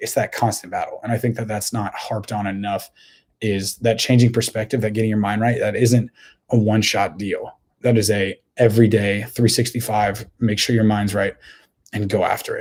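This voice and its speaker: Somewhat breathy speech at a moderate pace, with monotone, flat intonation. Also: man, fairly low pitch for a man. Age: 20s. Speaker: podcast host. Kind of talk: motivational monologue. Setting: home recording. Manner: repetitive, stammering restarts.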